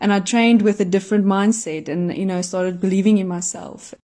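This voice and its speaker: A woman's dark, mellow tone in a South African accent, medium in pitch, with fairly even intonation and a moderate pace. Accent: Afrikaans South African English. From South Africa, Pretoria. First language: Afrikaans. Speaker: professional athlete. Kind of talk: testimony. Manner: hesitant, filler-heavy.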